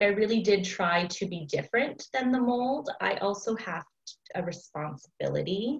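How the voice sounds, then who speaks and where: A woman's unremarkable speaking voice, medium in pitch, with lively intonation and a fairly slow pace. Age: 30s. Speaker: teacher and small business owner. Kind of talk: casual chat.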